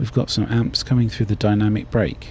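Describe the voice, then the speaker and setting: A man talks with a British accent at a moderate pace. Background noise is noticeable. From Britain. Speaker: gaming YouTuber. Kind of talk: let's play commentary.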